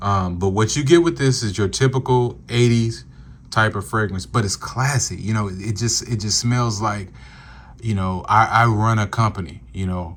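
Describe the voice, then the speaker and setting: This man has a fairly low pitch and a somewhat breathy sound. His pace is moderate. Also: ordinary pitch variation. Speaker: fragrance reviewer. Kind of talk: product review video. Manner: casual with many fillers.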